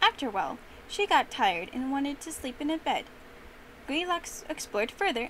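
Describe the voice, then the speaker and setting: The voice has a playful tone and very wide pitch swings, moving at a fairly quick pace over noticeable background noise. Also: woman. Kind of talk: fairy-tale narration. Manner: animated storyteller; playful, voices characters.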